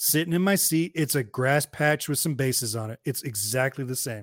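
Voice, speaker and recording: Recorded very cleanly against a silent background, with a dry, close sound and no echo, a man speaks at a moderate pace with an American accent, a plain, everyday voice and ordinary pitch variation. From US West, Hayward, California. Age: 40s. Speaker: podcast host. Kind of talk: casual chat.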